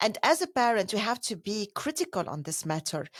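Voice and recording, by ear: Big pitch swings run through a woman's medium-pitched voice. She talks at a fairly quick pace.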